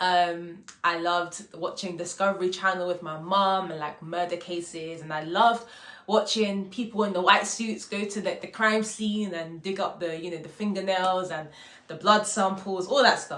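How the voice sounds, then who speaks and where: A woman with a London accent speaks at a moderate pace and medium pitch, with fairly even intonation but big swings in loudness. The room echo is audible, and there is noticeable background noise. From UK, Congolese heritage. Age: 20s. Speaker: actor, drama school graduate. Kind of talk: casual vlog monologue. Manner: casual, filler-heavy.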